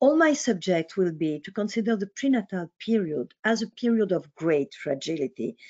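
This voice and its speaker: With a French accent, a woman at medium pitch talks at a moderate pace with very wide pitch swings and hardly any pauses. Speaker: psychoanalyst. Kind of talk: lecture. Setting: online webinar.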